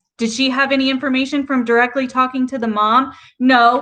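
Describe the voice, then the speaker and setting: A woman speaks with a slight Southern US accent at a high pitch. Her tone is bright and sharp, and her pace moderate. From US South. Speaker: YouTube livestreamer, commentary. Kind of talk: casual livestream commentary reading chat. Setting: live stream.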